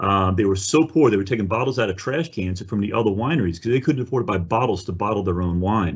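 Over a quiet background, a man talks in a somewhat breathy voice. His pitch varies in an ordinary way. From New Orleans. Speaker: winery executive and wine educator. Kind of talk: webinar presentation. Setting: video call. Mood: warm, enthusiastic. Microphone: video call.

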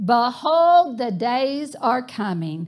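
A very slow pace from a woman with a high pitch. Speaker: preacher. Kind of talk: sermon. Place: church.

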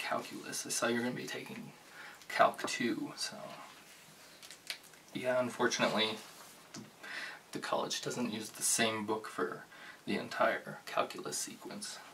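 A soft-spoken man talks at a fairly slow pace over noticeable background noise. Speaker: bookstore cashier role play. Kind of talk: ASMR roleplay. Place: home room. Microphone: studio mic.

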